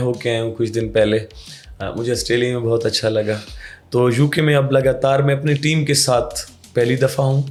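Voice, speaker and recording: A man's medium-pitched voice, monotone and flat in intonation. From Mianwali, Pakistan. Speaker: folk singer. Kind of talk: interview answer.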